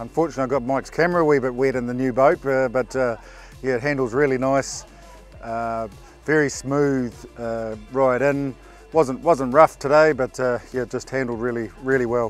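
A man at a moderate pace and with fairly even intonation, in a dry sound with no echo and faint music in the background. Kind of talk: interview answer. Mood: relaxed, content. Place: street. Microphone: lapel.

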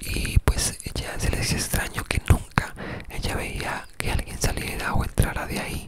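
A man whispering at a fairly slow pace. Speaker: ASMR creator. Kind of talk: ASMR whispered storytelling. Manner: whispered, soft-spoken, relaxing. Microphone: studio mic.

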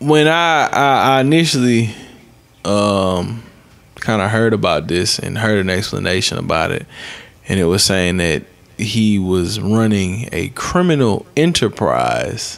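A fairly slow pace paired with lively intonation. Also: man, fairly low pitch for a man. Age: 20s. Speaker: podcast host. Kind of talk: casual chat. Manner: animated. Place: studio. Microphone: studio mic.

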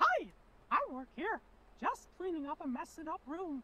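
A put-on character voice, squeaky and extremely high in pitch, talks at a moderate pace. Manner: cheerful, chirpy.

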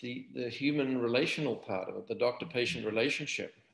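A man is speaking with a quiet background. There is audible echo in the room. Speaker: surgeon; guest. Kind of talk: interview conversation. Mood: calm, reflective. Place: home room. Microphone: webcam.

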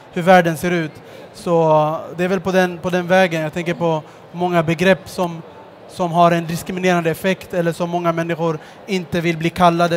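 A man's high-pitched voice, monotone and flat, over light background noise. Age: 30s. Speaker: social entrepreneur; guest. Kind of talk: stage interview. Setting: stage at a book fair with audience. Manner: hesitant, with fillers. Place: stage. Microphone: headset.

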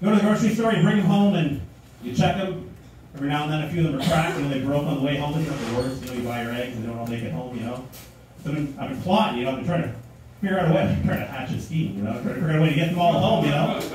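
Lively intonation carries a very fast pace through noticeable background noise and strong room echo. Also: man. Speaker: stand-up comedian. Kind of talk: stand-up comedy routine. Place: stage.

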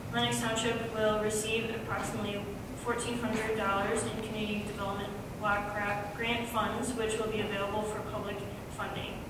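Spoken at a moderate pace, the clip carries audible room echo and loud background noise. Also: woman. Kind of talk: formal reading of public notice. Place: meeting room.

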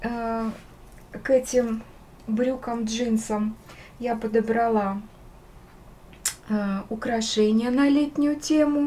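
A woman speaks at a fairly high pitch and a very slow pace. Her intonation is fairly even, broken by long, frequent pauses. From Russia, St. Petersburg. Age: 60s. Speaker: artist and craftswoman. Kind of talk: casual talk to camera. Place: home room. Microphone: phone near.

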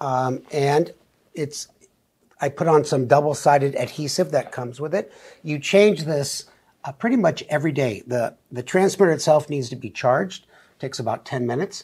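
Against a quiet background, a somewhat breathy man speaks at a moderate pace with ordinary pitch variation and big swings in loudness. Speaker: doctor co-host. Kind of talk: explanatory talk-show conversation. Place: studio. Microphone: lapel.

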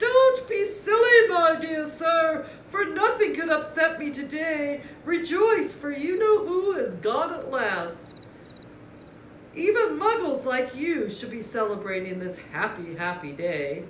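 A squeaky, put-on character voice, high-pitched, raised and projected, makes very wide pitch swings at a fairly slow pace against clear background noise. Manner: excited, joyful.

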